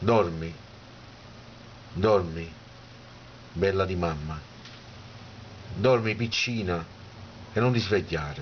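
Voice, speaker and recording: Very slow and somewhat breathy, a man speaks with a very deep, low pitch and ordinary pitch variation. Long, frequent pauses break up his speech. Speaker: poet. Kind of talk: poetry reading.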